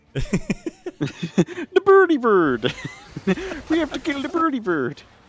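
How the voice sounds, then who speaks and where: In a put-on character voice with a Swedish accent, the speaker goes high-pitched and sing-song at a very slow pace. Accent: mock-Swedish. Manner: silly, sing-song.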